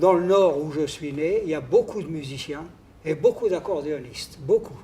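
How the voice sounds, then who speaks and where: A man with a dark, mellow tone and a fairly high pitch talks at a fairly slow pace. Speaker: accordionist. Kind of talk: reminiscing interview. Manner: halting, with many hesitations.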